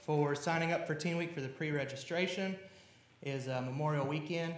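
A man speaks at a moderate pace with a fairly high pitch. His intonation is fairly even, and audible room echo surrounds him. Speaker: church youth leader. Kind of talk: church announcements. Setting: church. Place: church. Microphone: podium.

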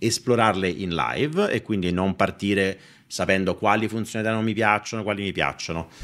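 This man's pitch sits fairly low, with ordinary variation. He talks at a fairly quick pace. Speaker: finance streamer. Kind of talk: live stream product review chat. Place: home room. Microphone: studio mic.

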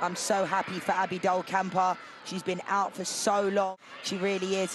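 The speaker has an enthusiastic tone and a moderate pace, with noticeable background noise. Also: man. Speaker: color commentator. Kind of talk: sports commentary, analytical color commentary breaking down replays. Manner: enthusiastic, repeats superlatives like fantastic and brilliant; conversational, frequent 'you know' fillers.

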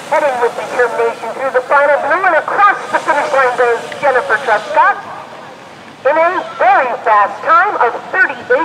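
A man's raised, projected voice sits at an extremely high pitch, with lively intonation and very even loudness at a moderate pace. Noticeable background noise runs underneath. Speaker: race announcer. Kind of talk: live race commentary. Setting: outdoors at ski race course. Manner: animated, upbeat play-by-play, praising each skier as they cross the finish.

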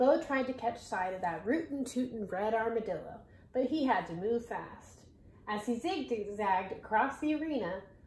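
Here is a natural reading voice. Its intonation rises and falls in a lively way.

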